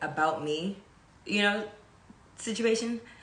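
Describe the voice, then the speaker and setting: A woman with an American accent talks amid audible room echo. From California. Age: 20s. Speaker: event producer and channel host. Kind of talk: casual monologue on a live stream. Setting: Instagram live stream. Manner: casual, with many fillers.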